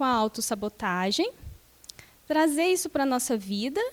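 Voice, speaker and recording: A soft-spoken woman's high-pitched voice with very wide pitch swings at a moderate pace. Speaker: spiritist lecturer. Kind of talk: lecture.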